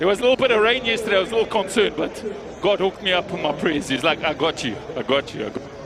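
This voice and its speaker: Over noticeable background noise, a man talks loudly and very fast in a high, animated voice with lively intonation. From South Africa, Johannesburg. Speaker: event commentator. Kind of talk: live event commentary.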